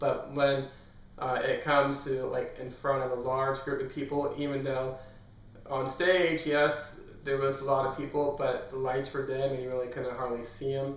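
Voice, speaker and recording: A man speaks with monotone, flat intonation, with audible room echo and noticeable background noise. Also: fairly high pitch for a man, moderate pace. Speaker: book youtuber. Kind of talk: casual vlog talk.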